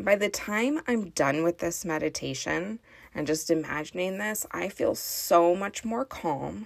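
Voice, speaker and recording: A woman talks at a fairly slow pace. She has an ordinary speaking voice. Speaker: parenting coach and podcast host. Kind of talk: guided meditation. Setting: closet at home. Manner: calm, slow, soothing.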